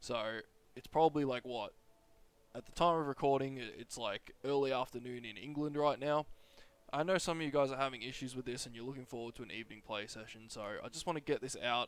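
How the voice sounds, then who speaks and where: Speaking very fast with an Australian accent, a man at a medium pitch shows ordinary pitch variation and big swings in loudness. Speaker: gaming YouTuber. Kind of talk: tutorial. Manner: casual, rambling delivery.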